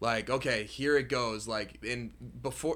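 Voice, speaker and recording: A man's plain, everyday voice at medium pitch, with fairly even intonation. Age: 20s. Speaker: social media creator and trader. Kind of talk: casual chat.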